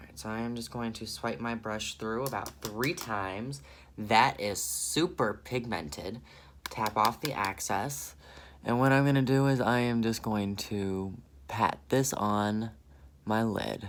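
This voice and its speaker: With an American accent, a man at medium pitch sounds animated, using lively intonation and big swings in loudness. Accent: southern accent, comes out now and then. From US South. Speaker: beauty vlogger. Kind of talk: makeup tutorial.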